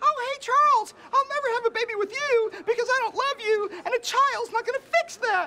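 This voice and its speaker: Putting on a squeaky character voice at an extremely high pitch, a woman talks at a fairly quick pace with hardly any pauses and ordinary pitch variation over light background noise. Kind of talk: scripted comedy dialogue, mocking impression. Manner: silly voice.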